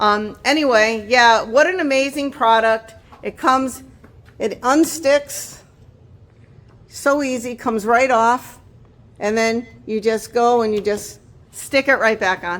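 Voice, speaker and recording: This woman talks at a fairly slow pace in a high, animated voice, with ordinary pitch variation and long, frequent pauses. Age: 50s. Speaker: lifestyle vlogger. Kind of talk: product review. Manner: halting.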